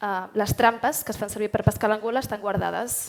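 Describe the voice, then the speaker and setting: Talking at a very fast pace, a woman with a Catalan accent has fairly high pitch and monotone, flat intonation. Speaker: artist. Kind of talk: panel discussion.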